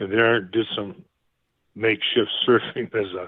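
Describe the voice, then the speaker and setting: With an American accent, a man talks at a fairly slow pace in a fairly low pitch. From Canada, then Brazil, later Texas. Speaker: retired basketball coach and museum curator. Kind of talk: interview.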